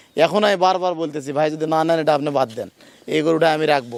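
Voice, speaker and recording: Fairly high in pitch, a man talks with fairly even intonation in an unremarkable speaking voice. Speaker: dairy farmer and cattle seller, channel host. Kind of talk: casual vlog with customer interview and sales talk.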